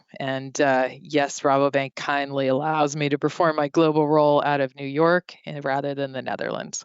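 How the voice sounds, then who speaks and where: A woman with an American accent speaks at a moderate pace in a very deep, low, monotone voice. She barely pauses at all. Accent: American with faint French trace. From France. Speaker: banking executive. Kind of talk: interview.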